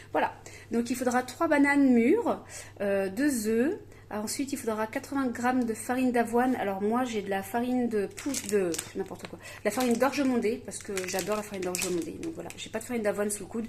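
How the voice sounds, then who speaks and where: A woman at a fairly high pitch and fairly quick pace, with ordinary pitch variation and big swings in loudness. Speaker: home cooking video host. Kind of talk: cooking tutorial. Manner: fast; hesitant, many fillers.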